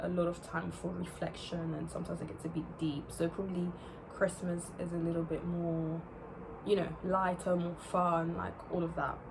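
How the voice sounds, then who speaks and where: A woman speaks at a fairly low pitch. The room echo is audible, and there is noticeable background noise. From England, born in France near Paris. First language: French. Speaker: YouTuber. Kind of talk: casual chat. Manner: halting, many fillers.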